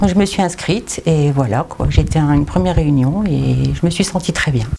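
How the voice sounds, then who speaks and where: A woman talks at a moderate pace. Noticeable background noise sits behind her voice. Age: 60s. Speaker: retired volunteer. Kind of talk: interview testimony. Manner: hesitant, with many fillers.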